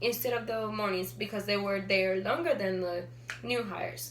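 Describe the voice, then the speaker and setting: The speech moves at a moderate pace, with audible room echo in the recording. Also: woman. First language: not English. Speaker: student. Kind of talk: class speech. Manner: halting.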